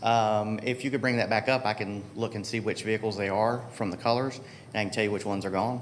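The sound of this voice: Speech runs at a fast pace with fairly even intonation. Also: man, fairly low pitch for a man.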